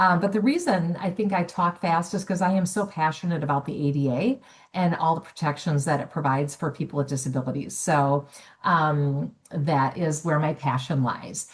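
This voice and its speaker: A woman's somewhat breathy, fairly low-pitched voice with lively intonation. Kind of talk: webinar presentation. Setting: online webinar. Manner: fast.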